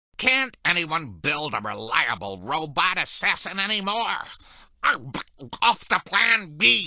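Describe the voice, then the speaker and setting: A man's put-on character voice, fairly high and fairly slow, with very wide pitch swings. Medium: video game. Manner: clucking, bombastic.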